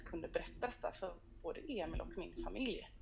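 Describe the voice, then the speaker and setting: A woman talks at a fairly quick pace. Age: 30s. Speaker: singer and entrepreneur. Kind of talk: casual interview chat. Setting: phone call. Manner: animated.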